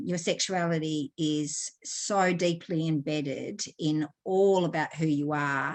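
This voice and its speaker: With an Australian accent, a woman speaks in a fairly low pitch with ordinary pitch variation. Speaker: sexologist and counselor. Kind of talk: online lecture. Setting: video call from Australia. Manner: conversational, with hesitations.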